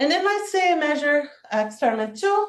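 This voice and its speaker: Speaking at a fairly quick pace, a woman uses a high pitch with very wide pitch swings. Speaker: physicist giving seminar talk. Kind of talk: lecture.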